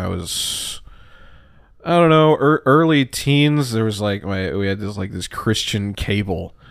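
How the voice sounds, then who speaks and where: In an ordinary speaking voice, a man talks at a fairly slow pace with lively intonation and fairly low pitch, on a very clean recording with a silent background. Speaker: comedian. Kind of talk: casual interview chat.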